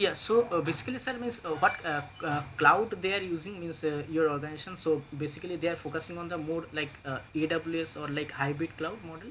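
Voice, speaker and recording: A man's fairly high voice at a fairly quick pace, hardly any pauses, ordinary pitch variation, and noticeable background noise. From India, West Bengal. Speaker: DevOps engineer job candidate. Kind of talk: job interview. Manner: halting, many fillers.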